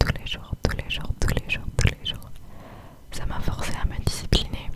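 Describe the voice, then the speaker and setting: Amid noticeable background noise, a woman is whispering at a very slow pace. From southern France. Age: young. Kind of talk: ASMR whispered chat to camera. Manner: whispered.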